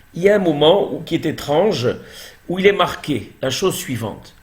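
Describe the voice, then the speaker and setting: Speaking at a fairly slow pace with ordinary pitch variation, a man is heard with audible room echo. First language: Hebrew now dominant over French (speaking French). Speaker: Torah teacher. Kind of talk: religious lecture.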